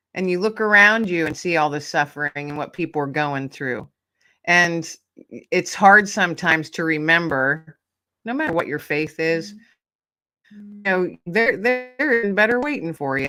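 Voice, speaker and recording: A woman's bright, sharp tone and lively intonation, with big swings in loudness, on a very clean recording with a silent background. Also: fairly low pitch for a woman, moderate pace. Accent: American. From Pennsylvania. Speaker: author and podcast host. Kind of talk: casual interview chat. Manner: animated.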